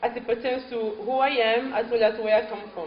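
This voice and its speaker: With a French accent, a woman speaks at a fairly high pitch and moderate pace, using ordinary pitch variation. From Cameroon, French-speaking part. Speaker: guest speaker. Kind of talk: speech to an audience.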